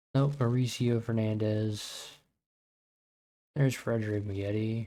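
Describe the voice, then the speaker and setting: This soft-spoken man has a medium-pitched voice with a dark, mellow tone, talking in a flat monotone at a fairly slow pace. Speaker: gaming streamer. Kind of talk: live gameplay commentary.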